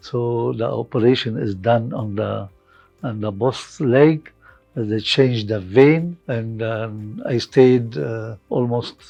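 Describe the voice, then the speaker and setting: Over music in the background, the speech moves at a very slow pace. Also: man. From Lebanon. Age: 70s. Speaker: hospital patient. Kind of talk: patient testimonial. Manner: hesitant, halting.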